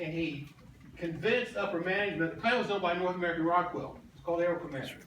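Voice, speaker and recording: Noticeable background noise and audible room echo surround the voice. Its pitch varies in an ordinary way. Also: man. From US Midwest, then Georgia from age nine. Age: 60s. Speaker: political candidate. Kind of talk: campaign speech.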